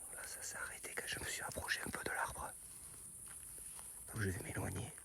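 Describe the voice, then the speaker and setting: A man whispers amid noticeable background noise, with audible room echo. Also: moderate pace. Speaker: YouTuber investigating strange noises. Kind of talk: vlog. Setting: outdoors at night. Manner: soft-spoken.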